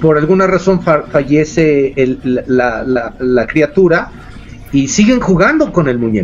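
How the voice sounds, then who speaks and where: Speaking fairly slowly with ordinary pitch variation, the voice comes through noticeable background noise. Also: man. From Mexico, San Luis Potosí. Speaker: paranormal investigator. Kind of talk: casual chat.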